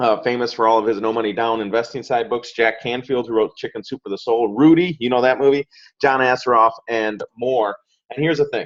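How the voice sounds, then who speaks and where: With a dry, close sound and no echo, a man at medium pitch speaks at a fairly quick pace with fairly even intonation. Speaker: digital marketing agency owner. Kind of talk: sales pitch. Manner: fast.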